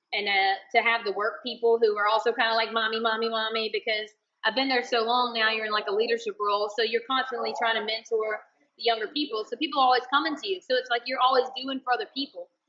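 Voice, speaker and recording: Very fast and with hardly a break in tempo, a woman with a slight Southern US accent speaks at a fairly high pitch with ordinary pitch variation. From Alabama. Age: 30s. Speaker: chemical engineer and bikini competitor. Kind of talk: podcast interview.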